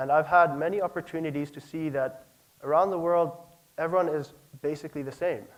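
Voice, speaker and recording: A man with a fairly high voice talks at a very fast pace, keeping his intonation fairly even. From South Africa, Pretoria. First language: Afrikaans. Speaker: speaker at presentation night. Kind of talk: prepared talk.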